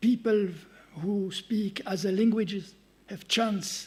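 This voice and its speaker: A man speaks in a high voice with a French accent. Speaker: conference speaker, researcher. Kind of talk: conference talk. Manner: halting.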